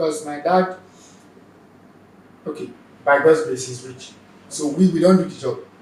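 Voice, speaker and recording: A Nigerian-accented man with fairly high pitch, ordinary pitch variation, big jumps in loudness, long and frequent pauses, and audible room echo. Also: moderate pace. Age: young. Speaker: stand-up comedian. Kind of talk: interview, personal story.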